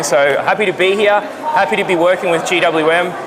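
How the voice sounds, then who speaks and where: A man talks with an Australian accent. Room echo is audible, and there is noticeable background noise. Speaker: off-road vehicle modifier. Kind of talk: short interview. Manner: energetic.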